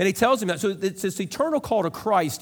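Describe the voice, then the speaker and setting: A man speaks with a Midwestern American accent. His intonation is lively. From US Midwest, rural central Illinois. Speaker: pastor. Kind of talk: sermon.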